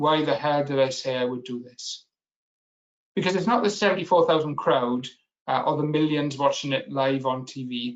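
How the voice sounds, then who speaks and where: Speaking with a strong Welsh accent, a man talks at a fairly quick pace in a fairly high pitch with ordinary pitch variation. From Wales. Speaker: business analysis expert and webinar speaker. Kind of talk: webinar presentation. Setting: online webinar.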